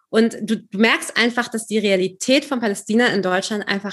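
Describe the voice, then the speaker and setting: Against a quiet background, a woman with an unremarkable speaking voice talks at a moderate pace, her fairly high pitch varying in an ordinary way. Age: 30s. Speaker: journalist. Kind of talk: casual chat.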